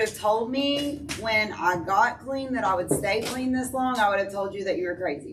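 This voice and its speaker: A woman's fairly high, lively voice carries audible room echo and noticeable background noise. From US South, East Tennessee (Sweetwater, Athens). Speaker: person in addiction recovery. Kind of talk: testimony. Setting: church recovery meeting, speaking to audience. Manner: loud.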